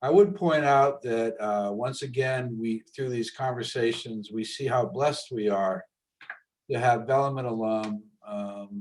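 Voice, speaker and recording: A man talks fairly slowly in a plain, everyday voice with ordinary pitch variation. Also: medium pitch for a man. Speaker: school alumni event host. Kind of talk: webinar closing remarks. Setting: video call.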